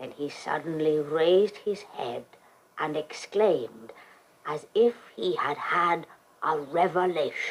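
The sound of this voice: This put-on character voice moves at a slow pace and carries a slightly husky edge. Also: woman, low pitch for a woman, lively intonation.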